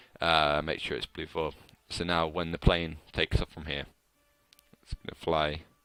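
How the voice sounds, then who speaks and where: Music plays in the background as a man with a very deep, low pitch speaks at a fairly slow pace, the sound dry and close with no echo. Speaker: game modding tutorial maker. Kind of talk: screen-recorded game editor tutorial. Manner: casual, hesitant.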